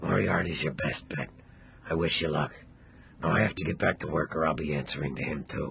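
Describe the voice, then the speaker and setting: Using a put-on character voice, a man growls in a raspy, very deep, low pitch at a fairly quick pace. Long, frequent pauses break up his speech over clear background noise. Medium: video game. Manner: meek, apologetic.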